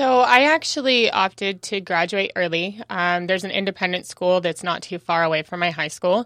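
Bright, sharp tone from a woman with an American accent, medium pitch and lively intonation, moderate pace with hardly any pauses, dry and close with no echo, quiet background. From Southern California desert (Phelan). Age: 30s. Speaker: vegan podcaster. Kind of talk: casual interview. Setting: studio.

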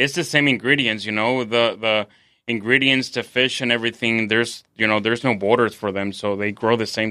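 A man with a Spanish accent speaks at a moderate pace and medium pitch, his tone bright and sharp. His intonation stays fairly even against a quiet background. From Mexico City, Mexico. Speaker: chef. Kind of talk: casual interview. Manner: halting, many fillers.

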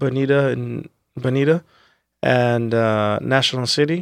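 A man with an American accent has a plain, everyday voice, pitched fairly high, with fairly even intonation and a dry, close sound with no echo. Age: 30s. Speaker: restaurateur. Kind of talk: casual interview chat.

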